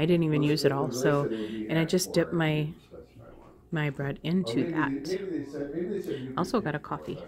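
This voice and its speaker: Quietly, a woman speaks in a very deep, low voice with ordinary pitch variation. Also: fairly slow pace. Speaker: weight loss vlogger. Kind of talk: casual vlog.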